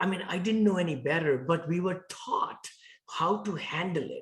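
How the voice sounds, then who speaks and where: A strong Indian accent with ordinary pitch variation. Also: man. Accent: thick Indian. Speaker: real estate investor. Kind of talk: interview.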